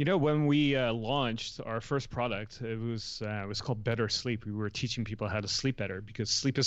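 Speaking in a Dutch accent, a man talks at a fairly quick pace with hardly any pauses, at a medium pitch with ordinary pitch variation. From Netherlands, small town near Amsterdam. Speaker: entrepreneur. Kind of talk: interview.

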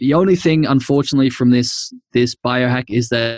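A man with a normal speaking voice and a medium pitch talks at a fairly quick pace with fairly even intonation, recorded dry and close with no echo. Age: 30s. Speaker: biohacker and herbalist. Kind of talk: podcast interview.

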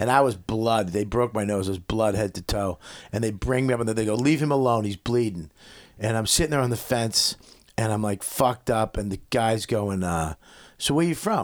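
Speaking at a moderate pace, a man with a Boston accent uses a medium pitch and ordinary pitch variation. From Boston area, Medford. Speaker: comedian. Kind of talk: casual chat.

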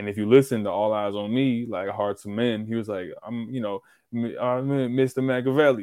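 A man with a plain, everyday voice talks at a fairly quick pace in a medium pitch. His intonation is fairly even. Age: 20s. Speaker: podcast guest. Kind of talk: casual chat.

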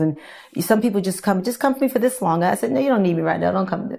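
A woman's voice comes through. It has a dark, mellow tone. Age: 60s. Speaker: fitness instructor. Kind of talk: casual chat.

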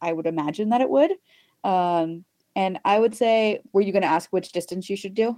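Speaking with an American accent, a woman at medium pitch keeps a moderate pace in a dark, mellow tone with ordinary pitch variation. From Texas, US. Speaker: inclusive cycling advocate. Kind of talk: casual interview chat.

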